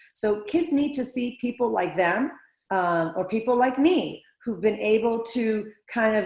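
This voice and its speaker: Her intonation lively, a woman talks in a fairly high pitch. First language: not English. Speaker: school board candidate. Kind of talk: candidate interview.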